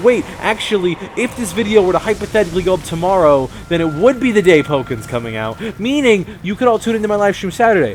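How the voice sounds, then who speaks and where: A high-pitched man at a very fast pace with very wide pitch swings, amid noticeable background noise. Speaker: gaming commentator. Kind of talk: solo video game commentary. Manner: casual, rambling with self-corrections.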